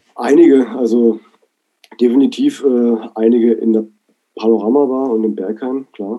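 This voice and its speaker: Long, frequent pauses break up a man's speech at a moderate pace. His medium-pitched voice keeps fairly even intonation. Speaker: DJ and producer. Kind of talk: interview. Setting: video call. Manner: hesitant, many fillers.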